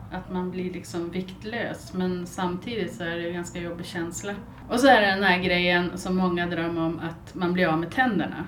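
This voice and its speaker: A woman's fairly low voice with fairly even intonation and audible room echo. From northern Sweden, Byske (Västerbotten). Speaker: podcast co-host. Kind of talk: casual chat.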